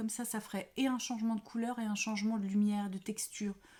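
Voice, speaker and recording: The voice stays flat and monotone, with a dark, mellow tone. There is some breathiness to it. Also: woman. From France, Paris. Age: 50s. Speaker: knitting podcaster. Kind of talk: casual chat. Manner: hesitant, many fillers.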